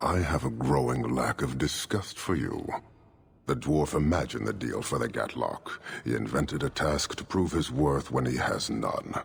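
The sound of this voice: Using a put-on character voice with vocal fry, the speaker goes at a fairly slow pace with lively intonation. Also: man, extremely low pitch for a man.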